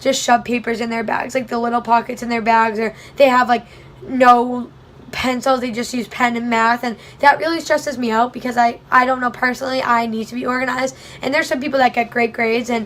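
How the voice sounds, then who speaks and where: A woman with a high pitch speaks in a flat monotone at a fairly quick pace. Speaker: college student vlogger. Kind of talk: casual vlog tutorial. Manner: fast.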